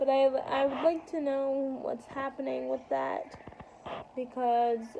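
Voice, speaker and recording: A woman speaks in a high pitch. Noticeable background noise can be heard. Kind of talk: casual vlog monologue. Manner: halting.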